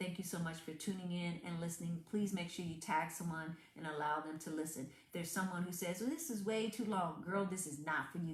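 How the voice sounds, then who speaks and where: Someone with a Southern accent talks at a fairly quick pace amid audible room echo. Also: woman. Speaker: motivational speaker. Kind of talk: motivational talk. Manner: animated.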